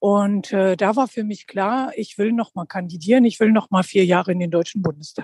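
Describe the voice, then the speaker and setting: Speaking at a moderate pace with hardly any pauses, a woman uses a medium pitch and ordinary pitch variation. Her voice is somewhat breathy, with a dry, close sound and no echo. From Lower Rhine region, Germany. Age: 50s. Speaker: politician. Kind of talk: interview. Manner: frequent hesitations.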